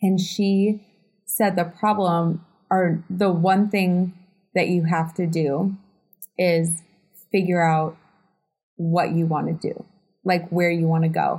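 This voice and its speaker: A woman's somewhat breathy, dark, mellow voice, fairly low in pitch, monotone and flat, at a very slow pace with long, frequent pauses. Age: 30s. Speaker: realtor and podcast co-host. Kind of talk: casual chat.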